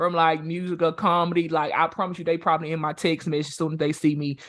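A man with a Southern US accent talks at a very fast pace in a high, animated voice over noticeable background noise. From Louisiana. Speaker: interviewer. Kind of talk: casual interview.

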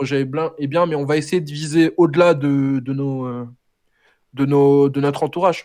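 With a dark, mellow tone and a fairly high pitch, a man speaks in a flat monotone at a fairly slow pace with long, frequent pauses against a quiet background. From France, Senegalese family. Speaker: rapper. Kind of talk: casual interview. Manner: halting.

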